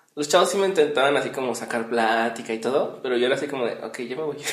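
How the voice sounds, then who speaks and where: Audible room echo surrounds a man speaking at a moderate pace. His pitch variation is ordinary. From Mexico, Morelia (Michoacán). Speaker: podcast host, radio presenter. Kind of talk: casual chat. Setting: home recording.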